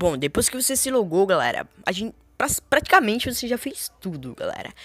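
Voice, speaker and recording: Talking at a fairly quick pace, a woman with a fairly high pitch and vocal fry makes very wide pitch swings. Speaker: gaming youtuber. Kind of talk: tutorial. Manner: fast.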